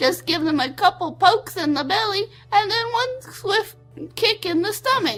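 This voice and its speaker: A woman's put-on character voice at a moderate pace, with very wide pitch swings and faint music in the background. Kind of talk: comic cooking-show parody. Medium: comedy sketch. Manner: bubbly, folksy and rambling.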